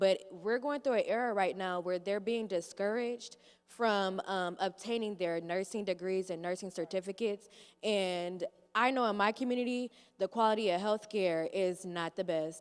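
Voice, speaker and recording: At a moderate pace and medium pitch, a woman with an American accent talks with fairly even intonation in a plain, everyday voice. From Michigan (Kalamazoo). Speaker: youth voting coordinator. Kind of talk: panel remarks.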